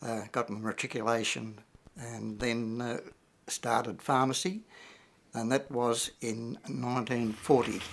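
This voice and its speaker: A man with an Australian accent at a fairly slow pace, medium pitch and fairly even intonation, with long, frequent pauses. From Australia, Victoria. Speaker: war veteran. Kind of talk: interview testimony. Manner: halting, many fillers.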